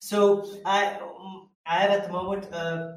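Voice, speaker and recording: Audible room echo surrounds a man's voice. He speaks with a Belgian accent and fairly even intonation. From Belgium. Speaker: mindset coach. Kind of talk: interview conversation.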